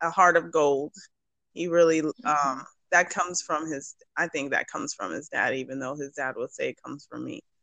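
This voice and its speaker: At a moderate pace, a woman speaks with long, frequent pauses and big swings in loudness, in a dry, close sound with no echo. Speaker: business owner and mother. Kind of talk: casual chat. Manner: chipper.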